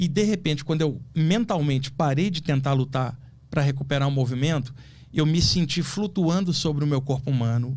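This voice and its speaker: A somewhat breathy man with a fairly high pitch speaks at a moderate pace, with ordinary pitch variation and very even loudness. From Rio de Janeiro, Brazil. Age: 60s. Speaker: astral projection specialist. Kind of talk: podcast interview, personal story.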